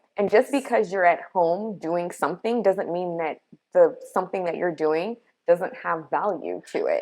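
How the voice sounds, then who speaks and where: A woman speaks in an unremarkable speaking voice at a moderate pace. Her pitch is medium with ordinary variation. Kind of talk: casual conversation.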